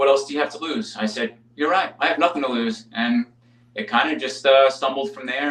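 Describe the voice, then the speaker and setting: A fairly high-pitched man at a fairly quick pace, pitch swinging very widely, with noticeable background noise. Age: 30s. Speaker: firefighter. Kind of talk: casual chat.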